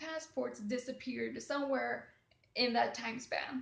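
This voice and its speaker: With a Swedish accent, a woman talks at a fairly slow pace over noticeable background noise. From Sweden. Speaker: travel vlogger. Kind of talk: casual storytelling. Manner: hesitant with fillers.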